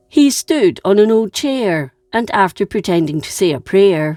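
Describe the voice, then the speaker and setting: Music plays in the background as a woman with a Scottish accent speaks at a fairly slow pace. Her pitch swings very widely, in a dry, close sound with no echo. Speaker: history narrator. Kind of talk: history storytelling narration.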